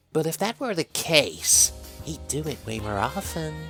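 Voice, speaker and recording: A woman in a put-on character voice speaks in a sing-song way at a moderate pace, with faint music in the background. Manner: teasing, sing-song.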